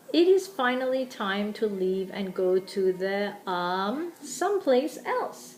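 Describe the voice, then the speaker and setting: A woman puts on a booming character voice at medium pitch. She speaks at a fairly slow pace with lively intonation. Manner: boisterous.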